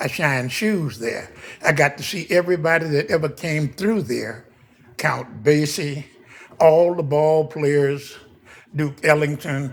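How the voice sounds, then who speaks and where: The pace is fairly slow, the sound somewhat breathy, and the pitch variation ordinary. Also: man. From US West Coast, West Oakland, California. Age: 80s+. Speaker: local elder. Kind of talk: oral history interview.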